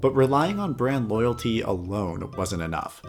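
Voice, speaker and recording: Fairly quick, lively intonation over music in the background. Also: man. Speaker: video game history narrator. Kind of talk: documentary narration.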